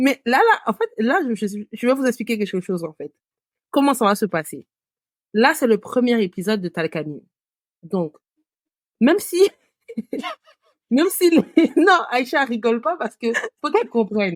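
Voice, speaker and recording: Talking at a fairly slow pace with long, frequent pauses, a woman with a fairly high pitch uses very wide pitch swings in a dry, close sound with no echo. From West Africa. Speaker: podcast co-host, marketing consultant. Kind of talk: casual chat.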